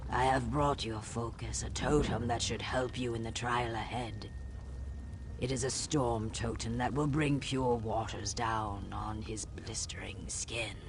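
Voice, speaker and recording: Over loud background noise, someone delivers a put-on character voice at a fairly slow pace. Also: man, medium pitch for a man. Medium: video game. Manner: ritual greetings about scales and water.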